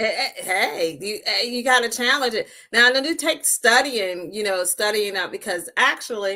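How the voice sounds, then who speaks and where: Speaking with hardly any pauses, a woman with an American accent has a bright, sharp tone and a fairly high pitch. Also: lively intonation, moderate pace. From Maryland, US (Talbot County). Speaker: talk show host. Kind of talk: interview.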